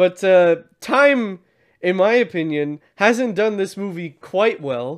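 A man's high-pitched voice, very slow in pace, with lively intonation against a quiet background. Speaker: movie podcast co-host. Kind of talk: casual chat.

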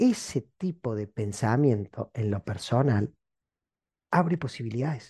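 A man of medium pitch speaks at a fairly slow pace with lively intonation, his dark, mellow tone somewhat breathy, in a dry, close sound with no echo against a quiet background. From Argentina (Córdoba). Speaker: podcast host, motivational speaker. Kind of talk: reflective monologue. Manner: halting, with many repetitions; animated.

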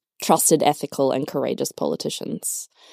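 Recorded very cleanly with a silent background, the sound is dry and close with no echo. A woman speaks with an Australian accent and ordinary pitch variation. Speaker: nonprofit worker, former lawyer. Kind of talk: casual interview chat. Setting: studio.

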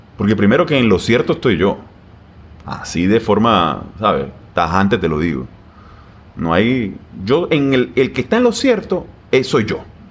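This man's voice sits fairly low, with vocal fry and very wide pitch swings. He talks at a fairly slow pace, leaving long, frequent pauses. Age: 30s. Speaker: plastic surgeon. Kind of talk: casual interview. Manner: halting, many repetitions.

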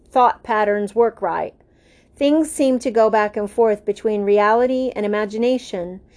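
The delivery is plain reading aloud with fairly even intonation.

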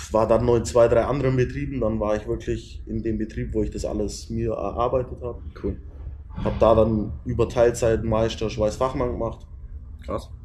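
Moderately paced talk from a man amid noticeable background noise. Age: 30s. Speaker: metalworker and business owner. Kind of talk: casual interview. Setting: indoors on a couch at a camper dealer.

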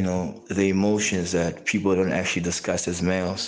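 Monotone, flat intonation with audible room echo and noticeable background noise. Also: man. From South Africa, Johannesburg. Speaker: father, artist. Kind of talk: voice note monologue.

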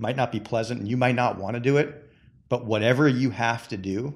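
At a moderate pace, a man speaks at a medium pitch with fairly even intonation in a plain, everyday voice. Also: very clean recording, silent background. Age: 40s. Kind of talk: casual chat.

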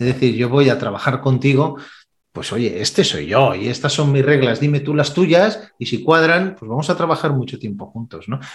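A man with a fairly high, somewhat breathy voice speaks at a moderate pace with lively intonation. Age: 50s. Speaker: sales trainer. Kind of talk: interview.

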